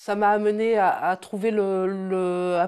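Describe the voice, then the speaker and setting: The tone is dark and mellow, the intonation monotone and flat. The recording is very clean, with a silent background. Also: woman. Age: 40s. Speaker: business founder. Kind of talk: interview testimony. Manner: hesitant, many fillers.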